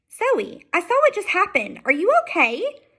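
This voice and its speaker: In a put-on character voice, a woman squeaks at an extremely high pitch with very wide swings. Her pace is moderate. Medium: read story. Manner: firm, earnest.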